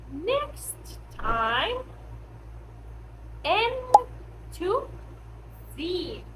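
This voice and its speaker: A woman is heard with noticeable background noise. The room echo is audible. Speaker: English teacher. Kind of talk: language lesson. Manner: slow; clear.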